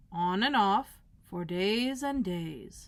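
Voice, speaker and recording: A woman's put-on character voice at medium pitch, with lively intonation. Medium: read story. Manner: unbothered.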